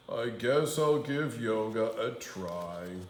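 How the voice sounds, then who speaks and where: At a very slow pace, a man puts on a character voice at a medium pitch. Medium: read story. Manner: sly, wheedling when disguised.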